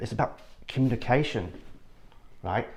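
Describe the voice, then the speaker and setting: A man with an English accent and fairly even intonation against a quiet background. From northern England, Yorkshire (Ilkley). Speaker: architect. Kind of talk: casual interview chat.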